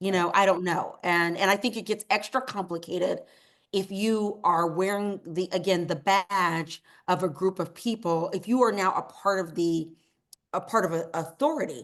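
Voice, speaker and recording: In an American accent, a woman uses a normal speaking voice at medium pitch, moving at a moderate pace with ordinary pitch variation. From East Texas. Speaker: novelist. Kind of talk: interview answer.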